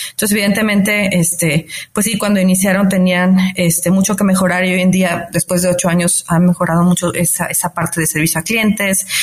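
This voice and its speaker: A woman with a medium pitch and fairly even intonation talks at a moderate pace while noticeable background noise runs underneath. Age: 40s. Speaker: fintech founder. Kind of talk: interview. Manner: frequent fillers like este and eh.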